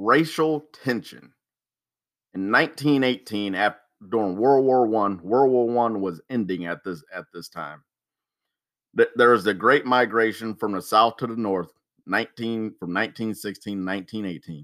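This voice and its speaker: A fairly low-pitched man with an American accent at a moderate pace, with big swings in loudness and ordinary pitch variation. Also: very clean recording, silent background. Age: 30s. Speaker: history podcast host. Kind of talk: solo podcast monologue. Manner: halting, many fillers and restarts.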